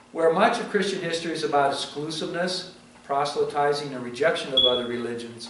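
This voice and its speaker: A man's fairly quick, lively speech, with audible room echo and noticeable background noise. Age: 60s. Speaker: pastor. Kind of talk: sermon.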